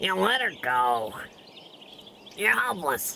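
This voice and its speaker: Over clear background noise, a cartoonish character voice talks at a middle pitch. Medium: puppet. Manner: sarcastic, mocking.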